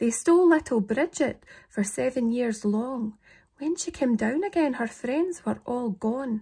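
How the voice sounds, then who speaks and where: In a Scottish accent, the speaker talks at a fairly slow pace with a dark, mellow tone. The pitch varies in an ordinary way, and the background is quiet. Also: woman. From Scotland. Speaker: poetry reader. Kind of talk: poetry reading. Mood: calm, slightly eerie. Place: home room. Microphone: phone near.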